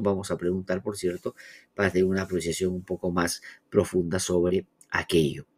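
Over a quiet background, a man is speaking. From Peru. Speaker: radio news host; program host. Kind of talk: news analysis and interviews. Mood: critical, analytic. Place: home room.

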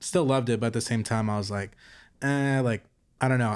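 An American-accented man talks with fairly even intonation. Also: quiet background. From Texas, Fort Worth area. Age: 20s. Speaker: apparel designer and entrepreneur. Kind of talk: casual interview chat. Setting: recorded in person in Hollywood. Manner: halting, many fillers. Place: home room. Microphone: studio mic.

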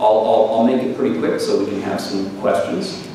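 The recording has strong room echo and light background noise. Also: man. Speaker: visiting professor lecturer. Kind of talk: lecture. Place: hall.

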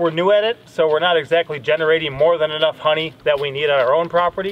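A man is speaking here. His pitch is high. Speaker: homestead vlogger. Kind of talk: casual vlog chat. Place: open country.

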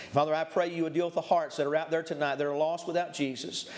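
The man's intonation remains fairly even as he talks. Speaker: preacher. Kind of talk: sermon. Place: church.

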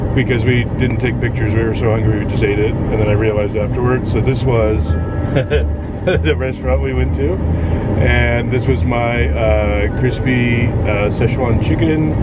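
The speech moves at a fairly slow pace. Music plays in the background. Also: man. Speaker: family vlogger. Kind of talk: casual vlog chat. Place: car. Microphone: phone near.

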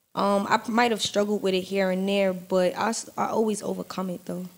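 With a New York accent, a woman talks at a moderate pace. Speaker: rapper; podcast guest. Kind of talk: casual chat. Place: studio. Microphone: studio mic.

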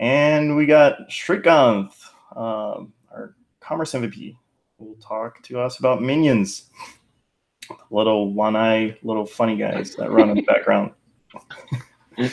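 With big swings in loudness, a man speaks at a very slow pace, leaving long, frequent pauses, and his pitch varies in an ordinary way. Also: quiet background. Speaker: presenter. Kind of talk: casual meeting introduction. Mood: friendly, joking. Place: home room. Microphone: earbuds.

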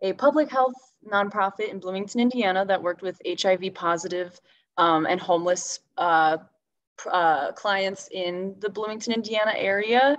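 A woman's speech holds a moderate pace and ordinary pitch variation, with a quiet background behind her. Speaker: environmental activist, council co-president; panelist. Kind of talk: panel discussion. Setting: video call. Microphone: video call.

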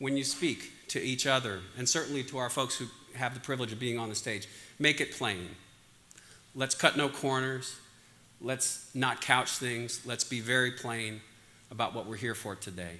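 The voice carries an American accent, ordinary pitch variation and a moderate pace. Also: man. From Pennsylvania. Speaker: conference organizer, physician. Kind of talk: conference opening remarks. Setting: stage with audience. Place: hall. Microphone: lapel.

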